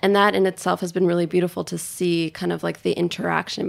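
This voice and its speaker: A woman with a New York accent talks at a very fast pace. There is noticeable background noise. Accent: New York American. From New York City, with five childhood years in Tokyo. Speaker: chef and restaurant co-owner. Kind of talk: interview conversation.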